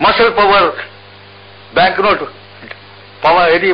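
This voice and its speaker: There is noticeable background noise as a man talks in a Telangana accent. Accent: Telangana Telugu. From Warangal, Telangana, India. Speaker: poet and freedom fighter. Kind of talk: radio interview answer. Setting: radio interview.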